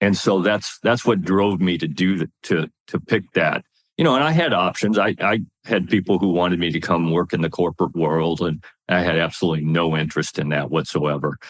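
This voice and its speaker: A man with an American accent speaks at a fairly quick pace in a very deep, low voice with ordinary pitch variation. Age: 60s. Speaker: retired army officer and leadership speaker. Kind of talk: interview.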